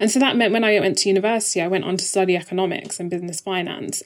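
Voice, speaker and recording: Recorded very cleanly against a silent background, a woman talks at a medium pitch. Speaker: venture capital investor. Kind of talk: casual interview conversation. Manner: soft-spoken.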